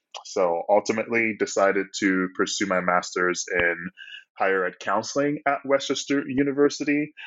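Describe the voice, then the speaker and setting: At medium pitch, a man talks in a normal speaking voice with lively intonation and a moderate pace. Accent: American. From Ghana, then Pennsylvania from early teens. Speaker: talent acquisition manager. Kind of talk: interview.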